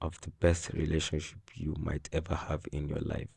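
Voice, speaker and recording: There is a quiet background as a man speaks with a non-native accent. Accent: non-native English, self-noted imperfections. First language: not English. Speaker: self-help vlogger. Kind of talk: personal monologue. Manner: halting.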